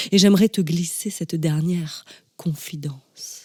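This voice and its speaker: A woman's fairly low, somewhat breathy voice, dark and mellow in tone, with fairly even intonation. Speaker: slam poet. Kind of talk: spoken word poetry.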